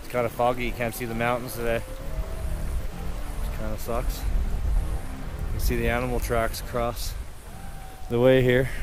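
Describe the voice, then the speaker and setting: Over clear music in the background, a man speaks at a fairly slow pace in a dry sound with no echo. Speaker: hiker vlogger. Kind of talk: casual vlog chat. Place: open country. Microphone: phone near.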